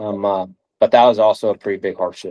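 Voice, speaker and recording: Recorded with a dry, close sound and no echo, a man speaks at a moderate pace over a quiet background. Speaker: strength and conditioning coach. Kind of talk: interview. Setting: video call.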